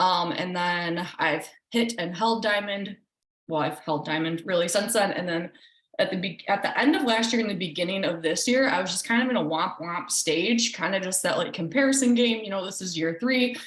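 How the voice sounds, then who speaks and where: With a plain, everyday voice, a woman speaks with ordinary pitch variation. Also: medium pitch for a woman, moderate pace. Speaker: team coach. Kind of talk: team call presentation.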